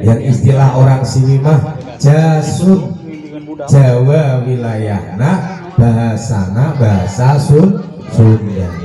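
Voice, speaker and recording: Over background music and audible room echo, the speech goes very slowly with lively intonation and very even loudness. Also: man, medium pitch for a man. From Central Java (Demak, near Semarang). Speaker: religious speaker (ustadz). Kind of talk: sermon.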